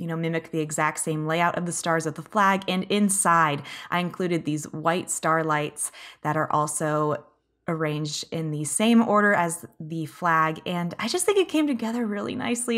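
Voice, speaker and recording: A woman with an American accent has an unremarkable speaking voice, pitched fairly low. Her pace is moderate and her pitch varies in an ordinary way. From United States. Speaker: gaming YouTuber. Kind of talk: video game commentary. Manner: cheerful.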